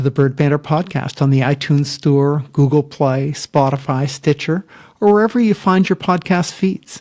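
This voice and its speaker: A somewhat breathy male voice, fairly high in pitch. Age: old. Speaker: podcast host. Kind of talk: podcast outro.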